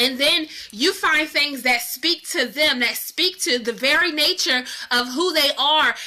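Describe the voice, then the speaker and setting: With noticeable background noise behind her, a woman speaks in a raised, projected voice, animated and high-pitched, with lively intonation at a fairly slow pace. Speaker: online marketing coach. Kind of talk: live stream teaching.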